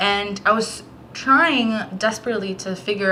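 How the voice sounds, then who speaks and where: Noticeable background noise sits under a woman talking at a fairly slow pace. Her pitch varies in an ordinary way. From Puerto Rico, moved to Florida as a child. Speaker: book vlogger. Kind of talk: casual vlog talk.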